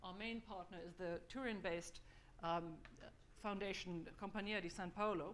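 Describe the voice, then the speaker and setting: Long, frequent pauses break up a woman's moderate-paced speech, her medium-pitched voice keeping fairly even intonation amid audible room echo. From Germany. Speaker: think-tank fellow presenting a survey report. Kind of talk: conference presentation. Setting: conference hall with audience.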